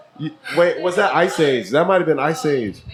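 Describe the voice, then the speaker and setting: A man talks with a high pitch over noticeable background noise. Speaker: podcast host. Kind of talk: casual chat.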